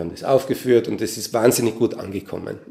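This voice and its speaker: A man with a fairly low pitch speaks at a very fast pace in a dark, mellow tone that is somewhat breathy. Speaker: composer and musician. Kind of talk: interview.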